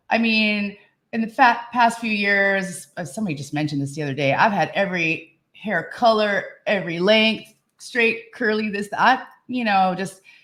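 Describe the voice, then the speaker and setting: An ordinary speaking voice from a woman at medium pitch, with ordinary pitch variation and a moderate pace, is heard on a very clean recording with a silent background. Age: 50s. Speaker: podcast co-host. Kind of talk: casual chat.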